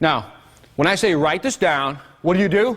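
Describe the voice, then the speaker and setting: A man speaks in an animated tone with high pitch. His intonation is lively. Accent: American. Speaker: business seminar speaker. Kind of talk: live seminar presentation. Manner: fast; animated, interactive.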